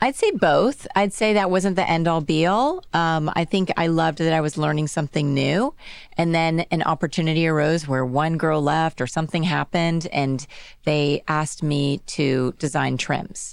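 A normal speaking voice from a woman, fairly low in pitch, at a moderate pace with ordinary pitch variation and very even loudness, on a very clean recording with a silent background. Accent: American. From Texas (Dallas). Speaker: accessories designer and brand founder. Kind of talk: interview. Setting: studio.

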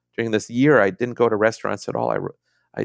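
A man with an American accent talks in a fairly low pitch with vocal fry. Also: dry, close sound with no echo, very clean recording, silent background. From Minnesota. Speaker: novelist. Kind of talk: interview.

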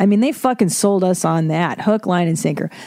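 With a dark, mellow tone and a fairly low pitch, a woman talks at a fairly quick pace with ordinary pitch variation.

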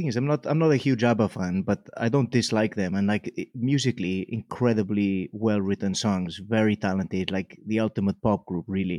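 Over a quiet background, a man with a fairly low, dark, mellow voice talks at a fairly quick pace, the sound dry and close with no echo. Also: ordinary pitch variation, hardly any pauses. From Mallorca, Spain. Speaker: comedian. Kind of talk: casual chat.

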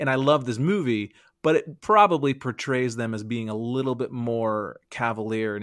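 In a plain, everyday voice, a man talks at a moderate pace with medium pitch and ordinary pitch variation, captured in a dry, close sound with no echo on a very clean recording with a silent background. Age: 40s. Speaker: comedian. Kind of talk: casual chat.

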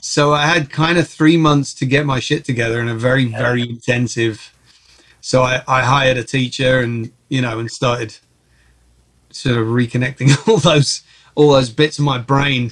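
Talking in a London accent, a man keeps a moderate pace and fairly even intonation. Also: medium pitch for a man. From Czech Republic (Prague), then England. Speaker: film and TV composer. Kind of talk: casual interview.

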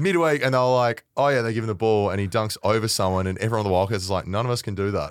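Speaking very fast with hardly any pauses, a man with an Australian accent comes through on a very clean recording with a silent background. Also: medium pitch for a man, ordinary pitch variation. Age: 30s. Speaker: media personality, former footballer. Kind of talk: casual chat.

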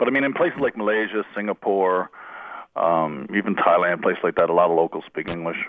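A man's very fast speech with a slight Newfoundland accent. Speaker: comedian. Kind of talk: casual chat. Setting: phone call.

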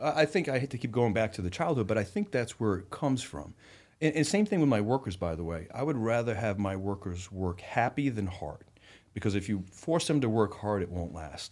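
A man with an ordinary speaking voice and an American accent speaks at a fairly low pitch with lively intonation, recorded very cleanly against a silent background. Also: fairly quick pace. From Rhode Island, US. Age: 40s. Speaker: entrepreneur and investor. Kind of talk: podcast interview. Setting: studio.

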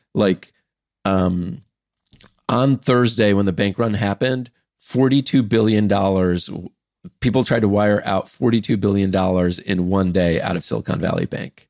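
Very clean recording, silent background, with a man speaking at a moderate pace. He has a plain, everyday voice, fairly low in pitch and ordinary in its variation. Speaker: startup founder and investor. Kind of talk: casual chat.

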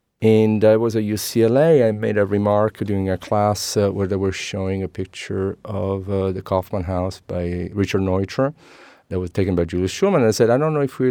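A man speaks in an Italian accent, his pitch fairly low and his tone dark and mellow. He hardly pauses at all, against a quiet background. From Sicily, Italy (Messina). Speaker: architect and author. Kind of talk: interview.

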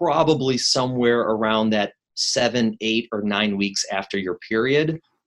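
Here is a man with an American accent at medium pitch. He keeps a moderate pace with ordinary pitch variation. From Chicago, US Midwest. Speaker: maternal fetal medicine doctor. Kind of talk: interview.

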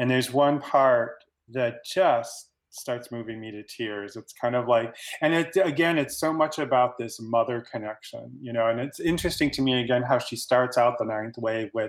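A man with a normal speaking voice talks at a moderate pace and medium pitch, with ordinary pitch variation and big swings in loudness. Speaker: fan guest. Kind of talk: casual chat.

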